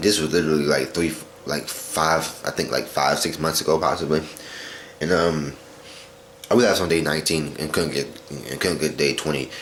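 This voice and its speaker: A man's very deep, low voice at a fairly quick pace, with fairly even intonation and long, frequent pauses, in a room with audible echo and noticeable background noise. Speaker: vlogger. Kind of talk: personal video diary. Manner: fast; halting, many repetitions.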